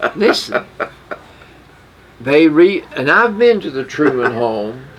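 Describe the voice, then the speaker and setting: At a very slow pace, a man with a fairly high pitch speaks with very wide pitch swings over noticeable background noise. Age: 80s+. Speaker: radio show co-host. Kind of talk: casual chat. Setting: radio studio.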